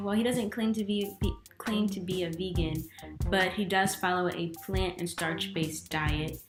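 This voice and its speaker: Fairly slow-paced speech over music in the background. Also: woman. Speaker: YouTube host, interviewer. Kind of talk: video intro to camera.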